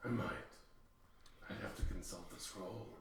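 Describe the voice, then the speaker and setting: A man speaks in a put-on character voice at a medium pitch and moderate pace, with a slight echo and clear background noise. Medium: actual play. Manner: calm, archaic phrasing.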